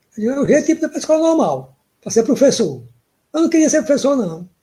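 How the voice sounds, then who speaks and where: A man speaks with an extremely high pitch and a dark, mellow tone. His pitch varies in an ordinary way. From Piauí, northeastern Brazil. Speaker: professor and cordel poet. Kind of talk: interview.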